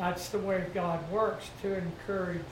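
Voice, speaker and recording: A man speaks at a fairly slow pace in a high pitch, his intonation monotone and flat. Noticeable background noise runs under his voice. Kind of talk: prayer and testimony. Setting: church.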